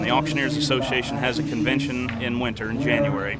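A man speaks at a very fast pace in a fairly high pitch, with ordinary pitch variation. The sound is dry with no echo, and music plays in the background. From Kansas, USA. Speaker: auctioneer and real estate professional. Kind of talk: interview answer. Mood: upbeat, enthusiastic. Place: stadium. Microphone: phone near.

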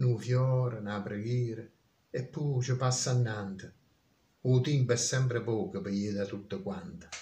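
A man's voice is somewhat breathy, dark and mellow, with ordinary pitch variation and long, frequent pauses. Audible room echo and light background noise surround it. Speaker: dialect poet. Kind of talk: poetry reading. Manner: solemn, slow. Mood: solemn, reflective. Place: home room. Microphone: phone near.

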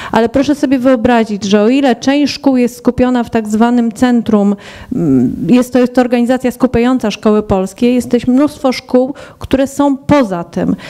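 A woman speaks at a moderate pace in a high pitch, with fairly even intonation and very even loudness. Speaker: scouting instructor. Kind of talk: panel debate. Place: hall. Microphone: handheld.

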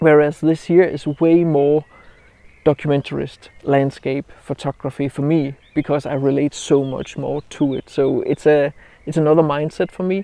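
A man with a Danish accent speaks at a moderate pace in a fairly high pitch, with a dark, mellow tone, monotone, flat intonation and a dry sound with no echo. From Denmark. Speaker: landscape photographer. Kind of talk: outdoor vlog tutorial. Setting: outdoors by a roadside. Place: open country. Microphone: lapel.

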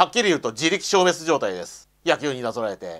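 Over a quiet background, a man with a fairly high pitch and vocal fry talks at a fairly quick pace with very wide pitch swings. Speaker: YouTuber commenting on religion; commentator. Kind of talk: solo video monologue. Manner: halting, many fillers. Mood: bitter, resentful. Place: home room. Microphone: lapel.

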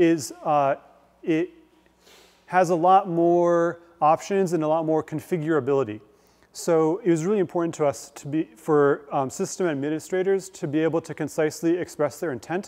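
Speaking at a moderate pace against a quiet background, a man keeps his intonation fairly even. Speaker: guest lecturer. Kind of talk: lecture. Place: hall.

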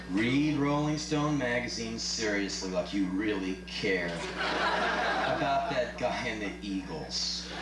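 A man with a very deep, low voice swings very widely in pitch, with noticeable background noise around him. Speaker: spoken word performer. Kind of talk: live spoken word performance. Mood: sardonic, comic. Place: stage.

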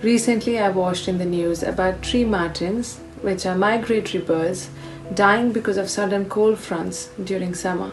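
At a moderate pace, a woman talks with fairly even intonation over clear music in the background. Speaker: physiotherapist. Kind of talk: casual talk to camera. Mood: calm, concerned. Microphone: phone near.

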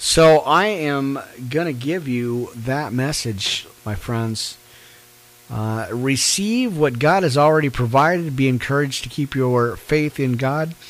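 The pace is fairly slow. Pitch variation is ordinary. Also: man, fairly high pitch for a man. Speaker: online preacher. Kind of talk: live-streamed Bible study. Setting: live stream with background music. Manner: casual with many fillers. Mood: warm, encouraging. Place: home room. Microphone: studio mic.

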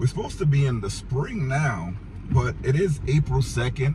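A man at a fairly slow pace with ordinary pitch variation, over noticeable background noise. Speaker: vehicle camping vlogger. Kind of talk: casual vlog chat. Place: car.

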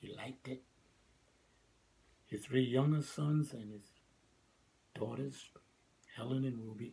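A man speaks at a fairly slow pace with long, frequent pauses, big swings in loudness, fairly even intonation and a somewhat breathy, dark, mellow tone. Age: 80s+. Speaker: elderly former Nation of Islam member telling his life story. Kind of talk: interview answer, personal reminiscence. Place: home room. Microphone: phone near.

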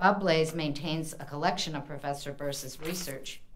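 A moderate-paced voice with an American accent, over light background noise. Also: woman. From US Midwest, Indiana. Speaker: university library dean. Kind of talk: event introduction. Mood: warm, grateful. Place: hall. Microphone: podium.

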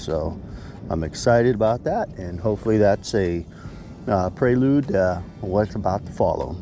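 Over light background noise, a man at a fairly low pitch talks at a moderate pace in a dry sound with no echo. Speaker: angler vlogger. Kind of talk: casual vlog chat. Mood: cheerful, relaxed. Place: waterside. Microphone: phone near.

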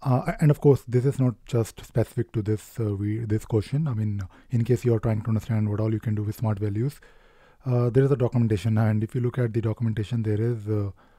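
Over a quiet background, a man with a dark, mellow, somewhat breathy tone talks at a very fast pace with fairly even intonation, the sound dry with no echo. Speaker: presenter. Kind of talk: tutorial.

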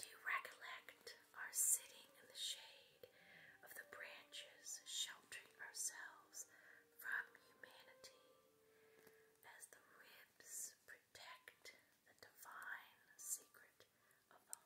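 A woman whispers at a very slow pace, her loudness swinging widely, with long, frequent pauses. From West Virginia. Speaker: poet. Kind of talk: poetry reading. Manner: whispered. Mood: tender, romantic, soothing.

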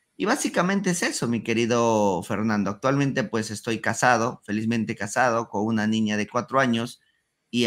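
A man speaks with a Peruvian accent. The background is quiet. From Peru, Huancayo (central Andes). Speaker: ecommerce entrepreneur; podcast guest. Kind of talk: interview.

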